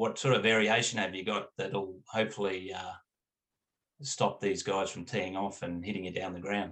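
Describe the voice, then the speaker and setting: With an Australian accent, a man talks at a moderate pace, his fairly low pitch carried by fairly even intonation. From country Australia. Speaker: cricket club owner. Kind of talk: interview.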